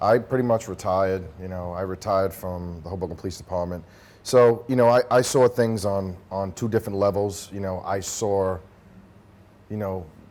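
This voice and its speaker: A man with a New Jersey accent, fairly low in pitch and fairly even in intonation, on a very clean recording with a silent background. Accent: Hudson County New Jersey. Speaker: retired police officer and army veteran. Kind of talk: casual interview. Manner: halting, repetitive; fast.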